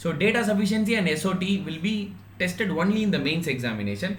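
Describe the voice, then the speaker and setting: Man's voice with audible room echo and noticeable background noise. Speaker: online exam-prep teacher. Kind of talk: live online class. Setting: live stream. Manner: fast; halting, many fillers.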